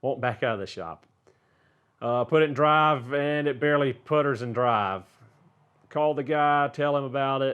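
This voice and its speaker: Long pauses turn up frequently. Otherwise the pace is moderate and the pitch varies in an ordinary way. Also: man, fairly high pitch for a man. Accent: Southern US. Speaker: auto mechanic and car YouTuber. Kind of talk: casual viewer Q&A. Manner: casual, many filler words.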